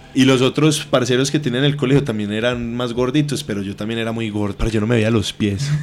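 This man talks at a very fast pace with hardly any pauses. His medium-pitched voice keeps a fairly even intonation. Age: 20s. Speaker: athlete and cannabis user. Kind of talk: casual chat.

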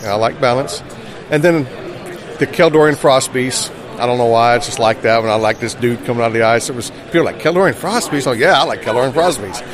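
Over noticeable background noise and audible room echo, a man speaks very fast. He has an American accent and a medium pitch. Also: ordinary pitch variation. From South Carolina. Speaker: fantasy card illustrator. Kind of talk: interview. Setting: convention floor.

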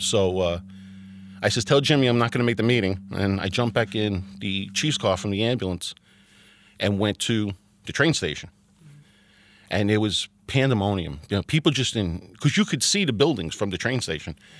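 With a New Jersey accent, a man speaks at a moderate pace and a fairly low pitch, with long, frequent pauses. His pitch varies ordinarily, and the recording is very clean with a silent background. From Hoboken, New Jersey. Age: 50s. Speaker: firefighter and volunteer EMT. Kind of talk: interview testimony.

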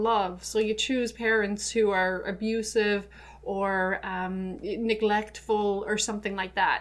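A woman with an Irish accent speaks in a fairly high voice with hardly any pauses. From Ireland. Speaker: spiritual hypnotherapist. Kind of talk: casual interview conversation. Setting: studio. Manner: halting, with many fillers.

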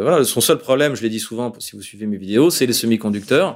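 With a plain, everyday voice, a man speaks at a medium pitch and ordinary pitch variation. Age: 50s. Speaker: political analyst. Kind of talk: interview. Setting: studio.

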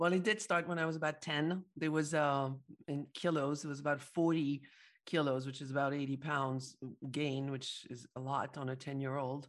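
A woman with a French accent speaks at a moderate pace with a very deep, low pitch and fairly even intonation. The recording is very clean, with a silent background. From Paris, France. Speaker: psychologist and entrepreneur. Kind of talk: interview.

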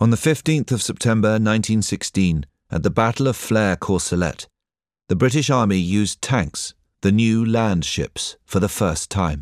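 With an unremarkable speaking voice, a man talks at a moderate pace and fairly low pitch, his intonation lively and his loudness very even, in a dry, close sound with no echo on a very clean recording with a silent background. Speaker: documentary narrator. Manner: measured, solemn, formal; steady, even pacing.

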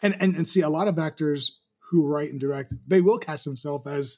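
Using an unremarkable speaking voice, a man with a fairly high pitch talks at a moderate pace with ordinary pitch variation. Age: 40s. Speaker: filmmaker. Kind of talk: casual chat.

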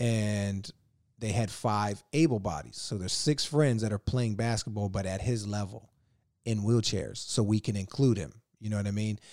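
A man's fairly low, ordinary speaking voice with an American accent, moderate pace and ordinary pitch variation, very clean recording over a silent background. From Northern Virginia. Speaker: actor and filmmaker. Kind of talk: casual chat.

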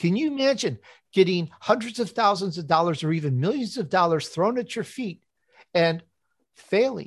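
A man with an American accent, high-pitched, lively in intonation, at a moderate pace. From Chicago, US Midwest. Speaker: author and podcast host. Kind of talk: interview.

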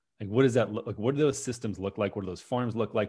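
Against a quiet background, a man with an unremarkable speaking voice and an American accent talks at a fairly low pitch with ordinary pitch variation. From US Midwest, Minnesota. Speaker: doctor and food company founder. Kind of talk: interview conversation. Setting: remote interview.

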